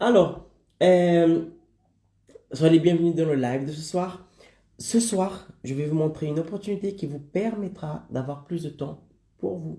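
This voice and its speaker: A man speaks very slowly in a dark, mellow voice that is high for a man, with ordinary pitch variation. His loudness swings widely, and he leaves long, frequent pauses. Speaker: online business coach. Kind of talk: live stream presentation. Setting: live stream.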